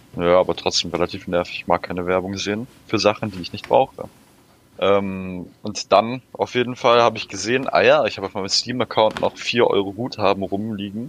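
A man with a normal speaking voice, fairly low in pitch, at a fairly quick pace with ordinary pitch variation. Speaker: podcast co-host. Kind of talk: casual chat.

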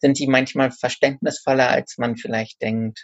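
A man at a medium pitch and moderate pace, with monotone, flat intonation. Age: 30s. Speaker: author and bookseller. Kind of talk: casual interview.

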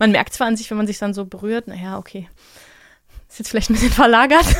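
A woman's fairly high voice races along at a very fast pace, its pitch varying in an ordinary way. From Germany. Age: 30s. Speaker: mixed martial arts fighter and podcaster. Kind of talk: casual interview.

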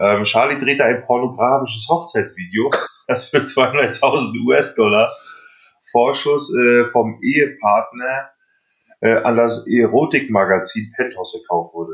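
In an unremarkable speaking voice, a man talks at a medium pitch and a fairly slow pace with ordinary pitch variation. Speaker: podcast host. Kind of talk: casual chat. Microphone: recorded on phones, poor sound.

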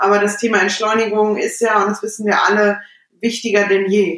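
At a medium pitch, the woman keeps a moderate pace. Her intonation stays monotone and flat. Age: 30s. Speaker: podcast host. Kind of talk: casual chat. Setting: remote call from home bedroom.

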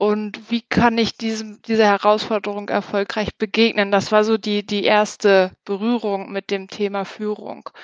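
A woman speaks fairly slowly with hardly any pauses, her intonation monotone and flat. The sound is dry and close, with no echo. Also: medium pitch for a woman. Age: 30s. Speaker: team leader in a large corporation. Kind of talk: interview.

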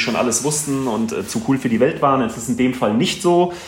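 With audible room echo and noticeable background noise, a man talks at a very fast pace with fairly even intonation. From Hesse, Germany (Wetterau, near Gießen). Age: 40s. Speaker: handball goalkeeper and café owner. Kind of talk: casual interview. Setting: office, remote call.

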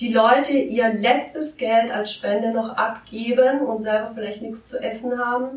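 At a fairly high pitch, a woman speaks at a fairly slow pace with fairly even intonation, hardly any pauses and big swings in loudness, over noticeable background noise. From Italy (Liguria), German parents from Swabia. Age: 30s. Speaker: artist and art teacher. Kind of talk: interview.

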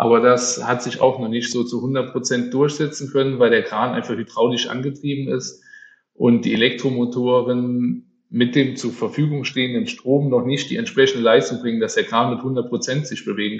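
An ordinary speaking voice, a man at medium pitch. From Germany, Mosel region near Trier (Rhineland-Palatinate). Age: 30s. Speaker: crane company managing director. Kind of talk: interview. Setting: office.

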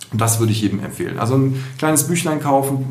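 A man speaks very fast with ordinary pitch variation. Noticeable background noise and audible room echo are present. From Düsseldorf, Germany. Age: 40s. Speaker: art fair director. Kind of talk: podcast interview. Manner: hesitant with many fillers.

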